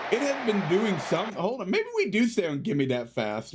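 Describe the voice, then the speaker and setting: A man's voice with very wide pitch swings at a fairly slow pace. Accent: American. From United States. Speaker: video game streamer. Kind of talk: live gameplay commentary and chat. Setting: live stream. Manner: animated.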